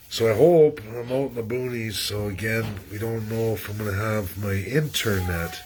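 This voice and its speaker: A man with a fairly low pitch and ordinary pitch variation, at a moderate pace, amid noticeable background noise and audible room echo. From western Canada (Alberta). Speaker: political commentator livestreamer. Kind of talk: casual livestream monologue. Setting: livestream from rural area, shaky internet. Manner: rambling, repeats words, halting.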